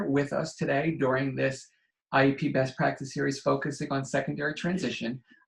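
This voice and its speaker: At a fairly quick pace, a man speaks in a fairly high, somewhat breathy voice. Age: 40s. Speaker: educational consultant. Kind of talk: online training presentation. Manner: fast.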